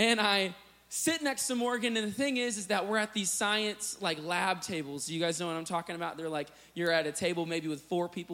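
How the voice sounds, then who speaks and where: Lively intonation marks this man's speech in an American accent. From US Midwest, Illinois. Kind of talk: sermon.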